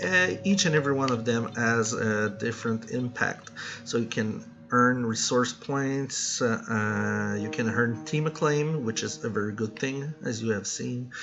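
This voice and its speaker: A man with a Quebec accent at medium pitch, his pace fairly slow and his pitch variation ordinary, with music in the background. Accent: French Canadian accent in English. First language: French. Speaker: gaming YouTuber. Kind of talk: gameplay commentary. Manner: halting, frequent fillers and restarts.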